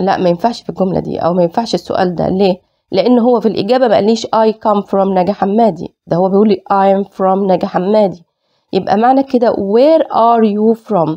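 This woman has a normal speaking voice, medium in pitch with ordinary pitch variation, holding very even loudness at a moderate pace. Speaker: English teacher. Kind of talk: lecture.

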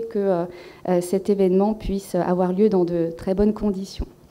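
A woman with a dark, mellow tone talks at a fairly slow pace in monotone, flat intonation. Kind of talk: formal thanks speech. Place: hall. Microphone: podium.

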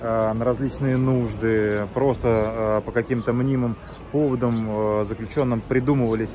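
With noticeable background noise, a man talks at a moderate pace in a flat monotone. The sound is dry, with no echo. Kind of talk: investigative report introduction. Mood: serious, measured. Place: waterside. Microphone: phone near.

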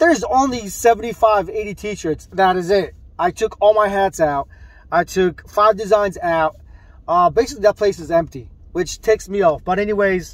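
The recording is dry, with no echo. A man speaks at a high pitch. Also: ordinary pitch variation, moderate pace. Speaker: t-shirt seller. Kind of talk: casual vlog chat. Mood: mildly annoyed, reflective. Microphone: phone near.

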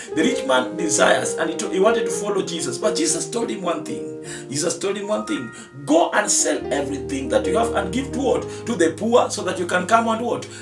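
A man speaks fairly quickly as clear music sounds in the background. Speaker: pastor. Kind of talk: sermon. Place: studio.

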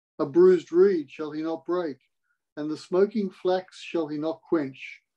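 A man's high voice, fairly slow in pace with fairly even intonation. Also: quiet background. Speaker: Bible reader in online meeting. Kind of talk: scripture reading. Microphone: video call.

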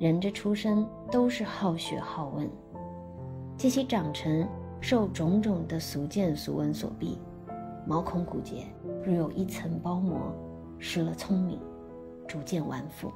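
Music plays in the background. The speech moves at a very slow pace with long, frequent pauses. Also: woman. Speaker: actress and musician. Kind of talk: literary essay reading. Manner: unhurried.

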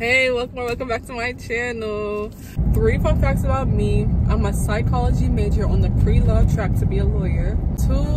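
A woman talks at a moderate pace, her voice dry with no echo, over loud background noise. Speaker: vlogger. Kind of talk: casual vlog chat. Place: car. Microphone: phone near.

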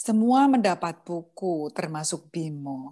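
Speaking at a very slow pace, a woman with a dark, mellow tone swings her pitch very widely. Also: quiet background. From Semarang, Indonesia; Indonesia. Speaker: guest reader, student. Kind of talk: reading aloud; casual chat.

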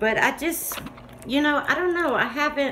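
Over noticeable background noise, a woman with a Southern US accent talks at a moderate pace. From US South. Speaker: YouTube crafter; vlogger. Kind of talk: casual chat; casual vlog chat. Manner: animated. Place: home room. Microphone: phone near.

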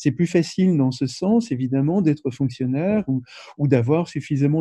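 A fairly high-pitched man with a dark, mellow, somewhat breathy tone and ordinary pitch variation, in a dry, echo-free sound against a quiet background. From France. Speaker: anthropologist. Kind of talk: interview. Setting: video call. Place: home room. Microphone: video call.

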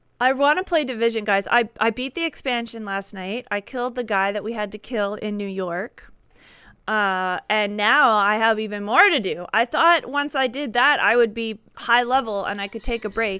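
A woman's fairly high, bright and sharp voice at a moderate pace, with ordinary pitch variation against a quiet background. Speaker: gaming live streamer. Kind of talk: live gameplay stream chat. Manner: quieter than usual; casual, chatty. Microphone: headset.

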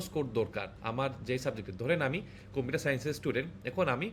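This man's voice is somewhat breathy and has lively intonation. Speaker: IELTS tutor. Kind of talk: tutorial. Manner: casual, conversational.

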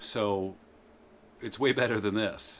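At a moderate pace, a man is talking. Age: middle-aged. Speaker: bicycle vlogger. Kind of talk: casual talk to camera. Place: garage. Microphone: phone near.

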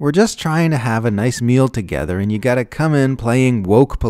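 Text delivered in a natural reading voice

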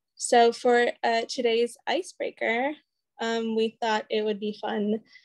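A woman speaks at a very slow pace with fairly even intonation. The background is quiet. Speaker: program coordinator hosting workshop. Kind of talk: workshop presentation chat. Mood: friendly, laughing. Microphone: video call.

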